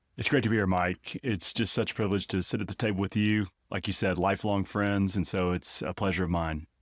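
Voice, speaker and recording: A man with an Arkansas accent talks at a very fast pace and a fairly low pitch, with fairly even intonation. The sound is dry and close with no echo, on a very clean recording with a silent background. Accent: noticeable Arkansas. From Northwest Arkansas. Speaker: theology professor. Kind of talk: conversational interview.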